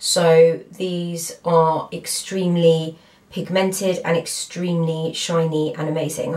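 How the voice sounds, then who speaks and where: Fairly low-pitched female speech with noticeable noise in the background. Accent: British. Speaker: beauty vlogger. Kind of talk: product review tutorial. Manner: casual, filler-heavy.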